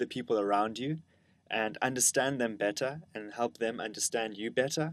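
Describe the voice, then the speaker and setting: Against a quiet background, a man with a South African accent speaks at medium pitch with ordinary pitch variation. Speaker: educator, lecturer. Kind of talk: lecture.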